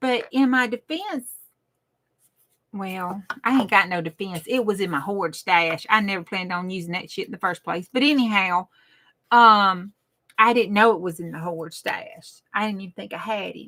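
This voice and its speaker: In a Southern US accent, a woman speaks with an animated, bright, sharp tone and big swings in loudness. The recording is very clean, with a silent background. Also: medium pitch for a woman, ordinary pitch variation, moderate pace. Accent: Southern US rural. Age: old. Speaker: crafting livestreamer. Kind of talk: casual live stream chat. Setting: craft room livestream. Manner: rambling, animated.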